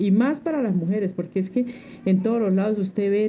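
A woman with an ordinary speaking voice, ordinary pitch variation and a moderate pace. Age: 60s. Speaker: domestic worker and community leader. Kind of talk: interview testimony.

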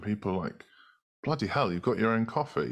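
A man speaks with a British accent and ordinary pitch variation. The recording is very clean, with a silent background. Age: 30s. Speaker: marketing agency co-founder. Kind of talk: interview.

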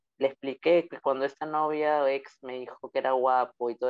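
Delivered at a moderate pace, this is a plain, everyday voice. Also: man. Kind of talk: interview.

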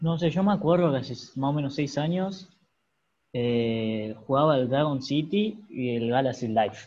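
A normal speaking voice from a man, fairly high in pitch, at a fairly slow pace. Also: lively intonation. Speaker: podcast host. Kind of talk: casual chat.

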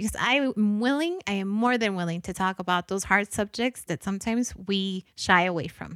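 A woman talks at a fairly quick pace and a medium pitch, with hardly any pauses. The recording is very clean with a silent background and a dry, close sound with no echo. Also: ordinary pitch variation. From Guatemala, then Los Angeles. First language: Spanish. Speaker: podcast host. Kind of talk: solo podcast monologue.

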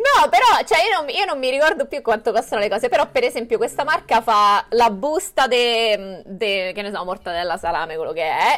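A woman's fairly high voice with very wide pitch swings and hardly any pauses. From Rome, Italy. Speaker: vegan content creator. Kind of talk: casual chat.

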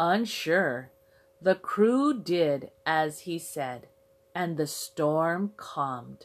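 The speaker has lively intonation and talks at a very slow pace. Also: woman, fairly low pitch for a woman. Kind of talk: children's story narration, read aloud in a simple, clear storybook style. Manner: clear, simple, measured delivery.

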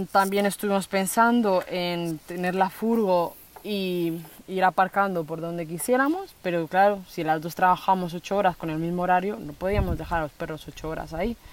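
A woman speaks at medium pitch and a moderate pace in an ordinary speaking voice, with ordinary pitch variation and big swings in loudness. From Spain (raised from age 7, born in Colombia). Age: 20s. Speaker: social worker, van-life traveller. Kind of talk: interview conversation. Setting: outdoors on a rural plot.

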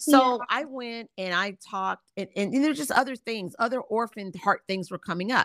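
A woman speaks in a plain, everyday voice, fairly high in pitch with ordinary pitch variation, at a moderate pace with hardly any pauses, on a very clean recording with a silent background and a dry, close sound with no echo. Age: 50s. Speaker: Bible teacher and author. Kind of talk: interview testimony and teaching.

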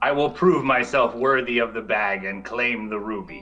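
Over clear background music, a man at medium pitch performs a put-on character voice at a moderate pace with lively intonation.

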